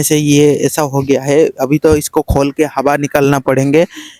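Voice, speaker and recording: The sound is dry and close, with no echo. The tone is dark and mellow. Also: man. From Odisha, India. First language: Odia (speaking Hindi). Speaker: shrimp farmer, vlogger. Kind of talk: casual how-to vlog. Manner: halting, many fillers.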